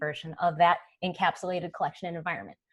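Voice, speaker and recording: Talking at a very fast pace is a woman. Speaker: developer relations director giving product demo. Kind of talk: live webinar demo. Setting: online webinar, screen share. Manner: casual, enthusiastic.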